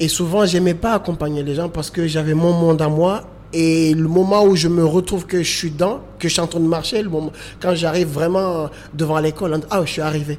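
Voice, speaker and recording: Amid noticeable background noise, a man with a high pitch speaks at a moderate pace with fairly even intonation. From Comoros (Grande Comore, Moroni). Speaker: choreographer and dancer. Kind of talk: interview testimony. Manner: halting.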